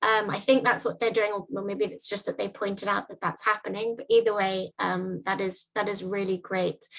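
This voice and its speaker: Speaking at a moderate pace, a woman has a plain, everyday voice pitched fairly high. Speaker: workshop facilitator. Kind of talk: online presentation.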